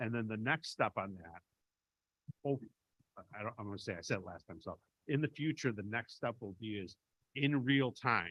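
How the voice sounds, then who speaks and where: A man with a Chicago accent, lively intonation and a moderate pace, big swings in loudness, long and frequent pauses, and a dry, close sound with no echo. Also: medium pitch for a man. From Chicago, US Midwest. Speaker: benefits vendor representative. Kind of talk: committee meeting presentation.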